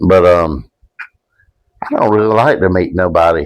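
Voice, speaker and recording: A man's very deep, low voice in a Southern US accent, at a moderate pace with fairly even intonation. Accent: Southern US (Georgia). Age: 60s. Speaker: podcast guest. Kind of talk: casual chat. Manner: halting.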